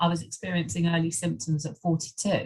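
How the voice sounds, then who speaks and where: A woman talks at a fairly quick pace in a fairly low pitch. Her voice is somewhat breathy. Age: 50s. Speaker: menopause coach. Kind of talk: interview.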